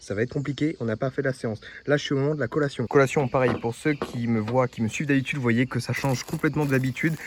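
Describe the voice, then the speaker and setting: Speaking very fast, a man uses a medium-pitched voice. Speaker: fitness vlogger. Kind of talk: casual vlog. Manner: energetic.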